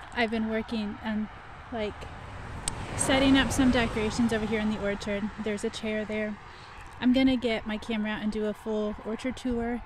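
With noticeable background noise and a dry sound with no echo, a woman talks at a fairly quick pace in a monotone, flat intonation. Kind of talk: casual vlog chat. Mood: relaxed, laughing. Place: garden. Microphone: phone near.

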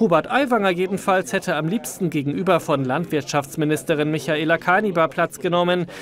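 Against noticeable background noise, a man with a high pitch speaks at a moderate pace with ordinary pitch variation. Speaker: TV news reporter. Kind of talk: news report narration.

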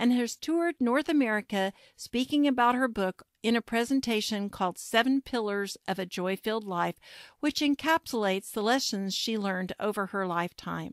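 A woman's unremarkable speaking voice, fairly high in pitch, with lively intonation at a moderate pace, dry and close with no echo on a very clean recording with a silent background. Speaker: podcast host. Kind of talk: interview.

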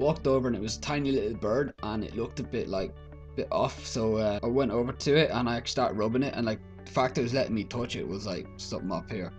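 In an Irish accent, the speaker talks at a very fast pace with lively intonation over faint background music. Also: man, medium pitch for a man. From Ireland. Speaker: vlogger. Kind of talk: casual talk to camera. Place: home room. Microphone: webcam.

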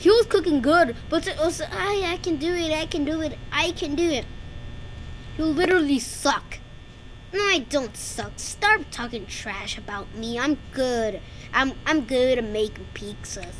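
Over clear background noise, a woman uses a put-on character voice, pitched high and delivered at a fairly slow pace. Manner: defensive, dismissive.

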